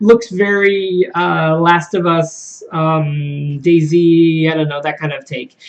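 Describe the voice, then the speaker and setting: A man talks with a high pitch that varies in an ordinary way. Background noise is clearly noticeable. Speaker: gaming video host. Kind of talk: casual video commentary. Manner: fast; hesitant fillers.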